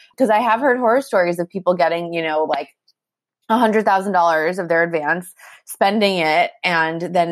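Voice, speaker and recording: A woman talks at a fairly quick pace with fairly low pitch and ordinary pitch variation, in a plain, everyday voice. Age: 30s. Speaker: author and journalist. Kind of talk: interview. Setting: call. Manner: casual, filler-heavy.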